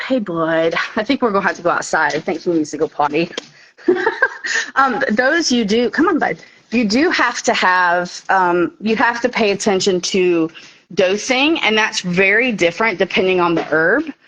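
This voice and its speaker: A woman with a Southern US accent talks at a moderate pace in a medium-pitched voice, with lively intonation and very even loudness. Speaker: herbalist. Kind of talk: casual chat. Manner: casual, filler-heavy.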